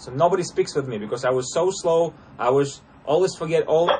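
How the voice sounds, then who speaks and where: This man speaks at a moderate pace and a high pitch with a Russian accent and ordinary pitch variation. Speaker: interview coach. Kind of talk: casual coaching talk. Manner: halting, many fillers.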